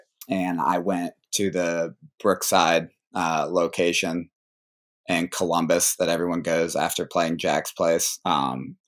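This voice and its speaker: At a very slow pace, a man with an American accent talks in a very deep, low pitch, with fairly even intonation and very even loudness. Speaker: college golfer. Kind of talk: interview. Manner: casual.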